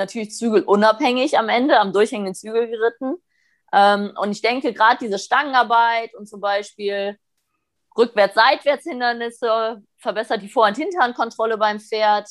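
A woman speaks in a normal speaking voice at a fairly high pitch. Her pace is moderate, her pitch variation is ordinary, and the background is quiet. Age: 30s. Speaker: western riding trainer. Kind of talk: interview.

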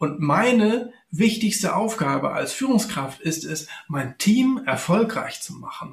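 Lively intonation carries this man's very slow delivery. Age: 50s. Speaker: former executive and electrical engineer. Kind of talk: podcast interview.

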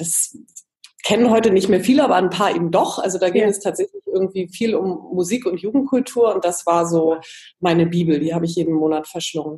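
A woman talks in an ordinary speaking voice at medium pitch, with ordinary pitch variation. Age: 40s. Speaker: magazine editor and coach. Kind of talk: interview.

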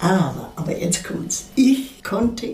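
The speech moves at a very slow pace with lively intonation. Noticeable background noise can be heard. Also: woman. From Munich, Bavaria. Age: 80s+. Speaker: actress and singer. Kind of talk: interview testimony.

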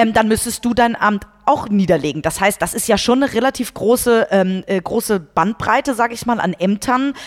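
A woman's ordinary speaking voice, fairly high in pitch, with lively intonation at a moderate pace. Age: 30s. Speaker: podcast host and company CEO. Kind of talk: interview.

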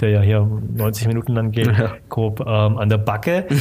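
A man's fairly low, somewhat breathy voice with a dark, mellow tone, on a very clean recording with a silent background. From Germany, Stuttgart area (Swabia), Vietnamese family. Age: 30s. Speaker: filmmaker. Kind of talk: casual interview.

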